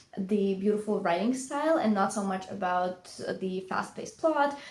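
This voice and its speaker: A woman talks at a moderate pace in a medium pitch. Room echo can be heard around her voice. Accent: Russian. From Latvia. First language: Russian. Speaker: book vlogger. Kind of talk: casual vlog talk. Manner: hesitant, many fillers.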